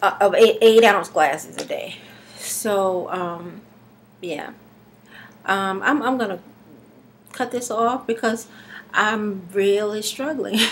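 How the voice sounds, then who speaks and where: A woman's voice at a very slow pace, with ordinary pitch variation, long and frequent pauses, and light background noise. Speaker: vlogger doing a raw food detox challenge. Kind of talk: casual video blog, talking to camera. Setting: self-recorded video at home. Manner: halting, with many fillers and pauses; slightly slurred, struggling to get words out. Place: home room. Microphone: webcam.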